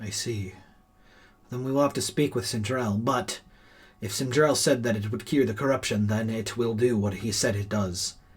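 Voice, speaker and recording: A man speaks in a put-on character voice at a medium pitch. His pace is moderate. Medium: actual play. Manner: formal, earnest.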